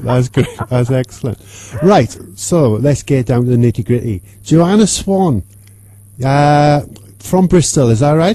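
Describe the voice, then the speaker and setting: With a strong Welsh accent, the speaker sounds cheerful, talking fairly slowly with lively intonation, very even loudness and long, frequent pauses. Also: man, medium pitch for a man. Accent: thick Welsh. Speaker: radio presenter interviewing a guest. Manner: cheerful, jokey.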